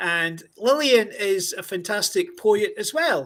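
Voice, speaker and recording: Very wide pitch swings run through a man's high-pitched voice in a Scottish accent. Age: 60s. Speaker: podcast host. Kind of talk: casual interview.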